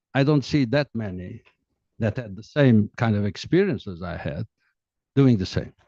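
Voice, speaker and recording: A man speaks at a medium pitch and moderate pace with long, frequent pauses, in a dark, mellow tone with lively intonation. The sound is dry and close with no echo, over a quiet background. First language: Portuguese. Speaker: diplomat and author. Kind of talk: book presentation talk. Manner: hesitant, many fillers.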